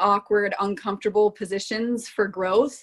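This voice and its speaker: A woman speaks at a fairly slow pace with a fairly high pitch. It is an ordinary speaking voice. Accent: American. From Florida. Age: 20s. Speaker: college athlete. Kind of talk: casual chat.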